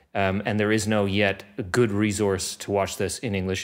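At a moderate pace, a man speaks with a fairly low pitch against a quiet background. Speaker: podcast host. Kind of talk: podcast conversation. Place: studio. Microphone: studio mic.

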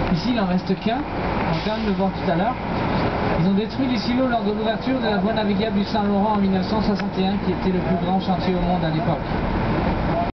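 Loud background noise surrounds a man as he talks. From Quebec. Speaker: tour guide. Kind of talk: guided tour commentary. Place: bus.

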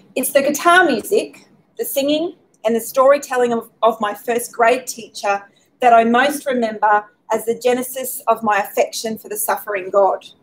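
At a moderate pace, a high-pitched woman speaks with big swings in loudness and ordinary pitch variation. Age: 40s. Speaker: speaker at faith talk event. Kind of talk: prepared talk. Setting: pub with live audience, streamed. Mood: gentle, reflective. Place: hall. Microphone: podium.

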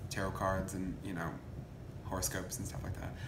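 A man talks while noticeable background noise is heard. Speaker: coven priest interviewee. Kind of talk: interview answer. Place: home room. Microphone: phone near.

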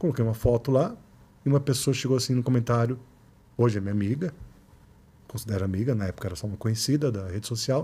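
A man speaks very fast in a dark, mellow, somewhat breathy tone, with ordinary pitch variation. He takes long, frequent pauses. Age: 40s. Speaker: photographer and researcher; podcast guest. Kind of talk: casual interview. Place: studio. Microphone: studio mic.

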